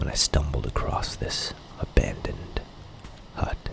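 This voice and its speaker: Whispering from a man comes through noticeable background noise. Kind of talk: soft-spoken gameplay tour narration. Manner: soft-spoken, calm.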